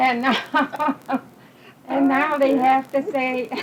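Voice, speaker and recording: A woman speaks in a high pitch with an American accent. Noticeable background noise runs behind her. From Connecticut, USA. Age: 80s+. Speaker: retired service worker and nanny. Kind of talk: oral history interview answer.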